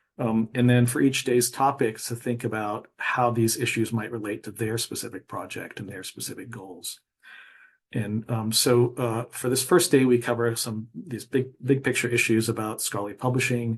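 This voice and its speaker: Somewhat breathy, a man talks with fairly even intonation but big swings in loudness. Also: medium pitch for a man. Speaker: librarian presenter. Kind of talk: conference presentation. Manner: fast; hesitant, many fillers.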